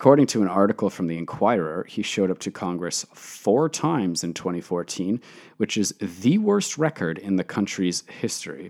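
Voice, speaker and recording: A man with a Canadian accent speaks in an ordinary speaking voice, fairly low in pitch, at a moderate pace. His intonation is lively, and the recording is very clean with a silent background. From Canada (Toronto). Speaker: podcast host. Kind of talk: solo commentary monologue.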